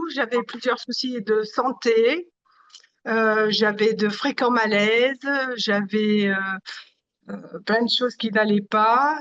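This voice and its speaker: At a very slow pace with long, frequent pauses, a woman speaks with fairly high pitch and fairly even intonation. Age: 60s. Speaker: consumer giving testimonial. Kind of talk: interview testimony. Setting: video call. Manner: hesitant, many fillers.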